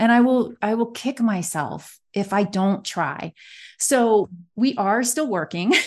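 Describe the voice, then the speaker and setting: Over a quiet background, a woman with a fairly high pitch speaks at a very slow pace with lively intonation. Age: 40s. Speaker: magazine publisher and editor. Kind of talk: casual interview chat.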